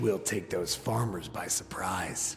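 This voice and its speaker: A man uses a put-on character voice, fairly low in pitch and at a fairly slow pace, with clear background noise. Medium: game stream. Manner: fierce, determined.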